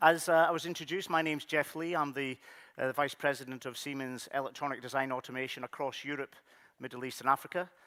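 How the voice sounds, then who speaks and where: A man with a Scottish accent, fairly high-pitched with a bright, sharp tone and fairly even intonation, talking very fast on a very clean recording with a silent background. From Scotland, Highlands. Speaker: technology executive. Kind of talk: conference keynote.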